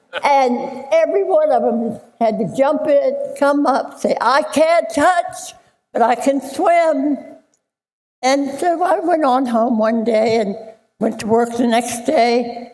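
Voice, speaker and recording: A woman's high voice at a very slow pace, with ordinary pitch variation and audible room echo. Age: 90s. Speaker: swimming instructor, hall of fame inductee. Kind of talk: acceptance speech. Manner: halting.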